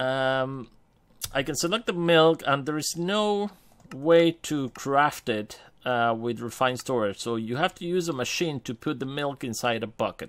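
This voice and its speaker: A man with a non-native accent speaks at a fairly slow pace, his pitch fairly high. His intonation is lively, and the recording is very clean with a silent background. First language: not English. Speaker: gaming youtuber. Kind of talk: gameplay commentary. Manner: casual, hesitant with many fillers.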